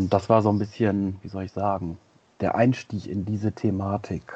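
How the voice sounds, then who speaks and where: A fairly low-pitched man's voice, monotone and flat, broken by long, frequent pauses. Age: 40s. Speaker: psychologist. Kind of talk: interview. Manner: halting.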